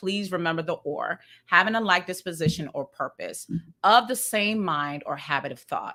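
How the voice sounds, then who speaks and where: Woman with a Maryland accent, animated and bright, sharp in tone, very wide pitch swings, moderate pace, on a very clean recording with a silent background. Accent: Maryland pronunciation, ER as UR. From Sierra Leone, raised in Maryland US. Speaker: podcast co-host. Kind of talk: casual panel discussion with teaching. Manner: animated, conversational.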